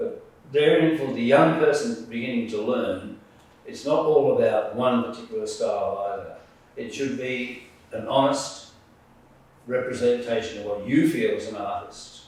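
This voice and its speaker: Amid noticeable background noise and audible room echo, a man with an Australian accent talks at a moderate pace, his loudness swinging widely. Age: 70s. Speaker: artist and retired naval officer. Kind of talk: interview. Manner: halting.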